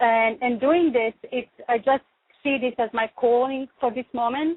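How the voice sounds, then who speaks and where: A woman with a non-native accent talks at a fairly slow pace, her high-pitched voice keeping a fairly even intonation. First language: not English. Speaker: radio show host. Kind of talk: talk radio chat.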